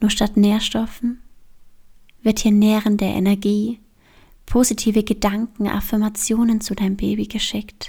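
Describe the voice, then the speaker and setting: A woman's fairly high, somewhat breathy voice, dark, mellow and soothing, calm in tone, monotone and flat, at a fairly slow pace with long, frequent pauses. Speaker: yoga teacher and podcast host. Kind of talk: guided meditation. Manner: slow, soothing, calm; soft-spoken, gentle, with long pauses.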